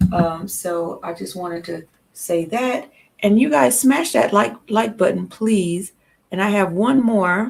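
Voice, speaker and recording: A somewhat breathy woman at a fairly slow pace, her pitch swinging very widely. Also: medium pitch for a woman. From Louisiana. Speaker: live stream host. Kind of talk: casual political chat. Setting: live stream.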